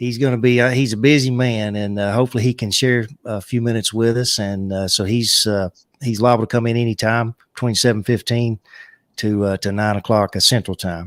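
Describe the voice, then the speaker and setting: A man with a Southern US accent at a fairly quick pace, medium in pitch with fairly even intonation, dry and close with no echo, on a very clean recording against a silent background. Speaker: livestream co-host of a beekeeping chat show. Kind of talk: casual live chat. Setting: live stream from a home studio. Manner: halting, many filler uh's.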